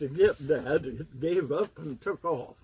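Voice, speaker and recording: A dark, mellow, somewhat breathy voice at a fairly slow pace. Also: man. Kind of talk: casual family storytelling.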